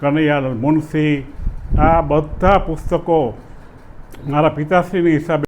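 A man speaks at a fairly high pitch. Noticeable background noise is present. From Saurashtra, Gujarat. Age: 70s. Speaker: folk storyteller and ayurvedic doctor. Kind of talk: interview.

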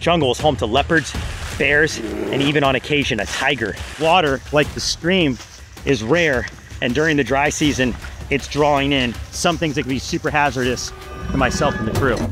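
A man at a moderate pace with ordinary pitch variation, a dry sound with no echo, and clear music in the background. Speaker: wildlife show host. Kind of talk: presenter commentary. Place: forest.

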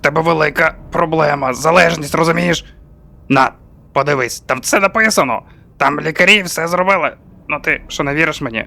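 Using a put-on character voice, a man speaks at a fairly high pitch. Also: fairly quick pace, ordinary pitch variation. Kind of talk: comic overacting. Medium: fan dub.

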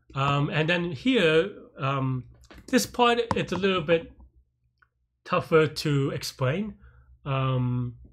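Long, frequent pauses mark a man's very slow delivery over light background noise. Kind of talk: tutorial. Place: home room.

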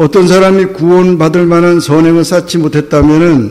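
A man speaks at a moderate pace with a high pitch. His intonation is fairly even, and audible room echo surrounds the voice. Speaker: pastor. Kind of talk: sermon.

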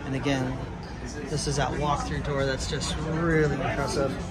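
A man speaks with little pitch movement amid clear background noise, including clear crowd noise in the background.

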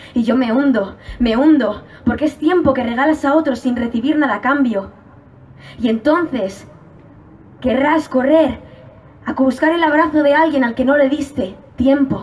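A woman's high-pitched, animated and passionate voice in a Spanish accent, with ordinary pitch variation, very even loudness, long and frequent pauses, and noticeable background noise. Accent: Spanish from Spain. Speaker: slam poet competitor. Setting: stage with audience. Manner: animated, passionate, fast-paced, rhythmic delivery with urgent emphasis.

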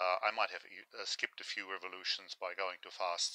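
With a quiet background and dry sound free of echo, a man speaks at a moderate pace. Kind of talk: tutorial. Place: workshop. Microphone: phone near.

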